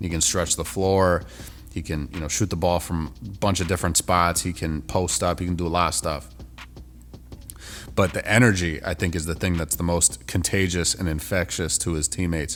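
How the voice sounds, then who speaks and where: Music plays in the background as a man with a very deep, low pitch talks at a moderate pace with ordinary pitch variation. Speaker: basketball commentator. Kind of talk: casual commentary video. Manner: casual, conversational with fillers.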